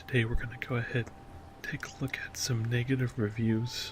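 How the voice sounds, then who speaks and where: Whispering and soft-spoken, the voice moves at a fairly slow pace. Music plays in the background. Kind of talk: ASMR whispered reading of online reviews. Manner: whispered.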